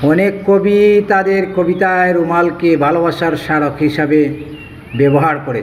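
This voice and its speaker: Over noticeable background noise, a man speaks high in pitch with fairly even intonation. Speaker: poet. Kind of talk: poem introduction to viewers.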